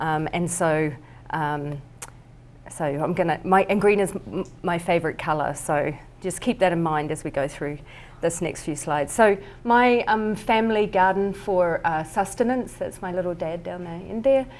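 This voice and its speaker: A woman speaks in a New Zealand accent at a moderate pace. Her voice is fairly low-pitched, with ordinary pitch variation. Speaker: artist. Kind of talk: presentation. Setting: talk with live audience at a winery. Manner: hesitant, many fillers.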